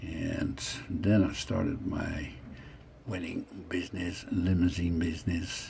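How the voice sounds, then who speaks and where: A very slow pace with audible room echo. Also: man. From Netherlands, The Hague. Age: 60s. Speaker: vlogger telling his life story. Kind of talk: narrating own photos. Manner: casual, halting.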